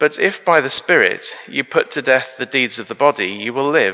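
Music plays in the background. Over it, a man talks at a fairly slow pace. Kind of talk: service welcome and scripture reading. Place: church.

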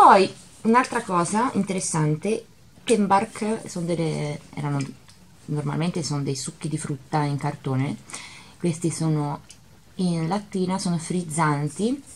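Over light background noise, a woman with a fairly low pitch speaks somewhat breathily at a fairly slow pace, pausing long and often. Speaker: vlogger. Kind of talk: casual vlog chat. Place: kitchen. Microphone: phone near.

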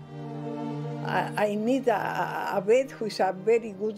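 Clear music sounds in the background. Over it, a woman speaks at a very slow pace. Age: 90s. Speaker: elderly great-grandmother, pensioner. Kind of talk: interview answer. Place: home room.

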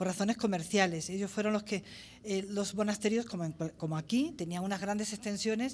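A woman talks at a moderate pace and medium pitch, her voice somewhat breathy. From Spain, La Vera (Cáceres, Extremadura). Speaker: ethnologist. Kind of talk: conference talk. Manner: halting.

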